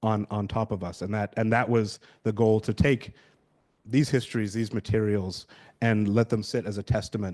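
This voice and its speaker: Over a quiet background, a man with a British accent talks at a moderate pace in a fairly low pitch. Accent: British accent, noted by himself. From London, England. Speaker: researcher on slavery archives, conference panelist. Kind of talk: conference presentation. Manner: hesitant, many fillers and repeats.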